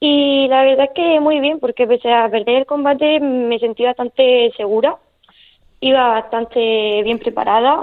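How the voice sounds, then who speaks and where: A woman speaks in a Murcian accent with a high pitch. Her pace is fairly slow and her intonation fairly even. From Murcia, Spain. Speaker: para-taekwondo athlete. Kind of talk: radio interview.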